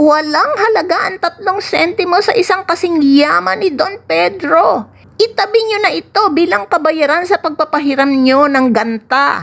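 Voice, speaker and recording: A woman uses a put-on character voice at an extremely high pitch. She goes at a fairly slow pace with hardly any pauses. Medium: read story. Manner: sly.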